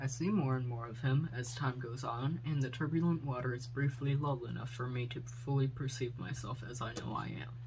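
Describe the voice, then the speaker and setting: A man at a moderate pace with fairly even intonation and hardly any pauses, in a room with audible echo. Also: medium pitch for a man. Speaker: poet. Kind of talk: reading aloud.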